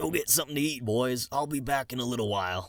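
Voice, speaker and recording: Putting on a character voice, a man talks at a very fast pace in a raspy voice with a medium pitch. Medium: read story. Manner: forced cheerfulness.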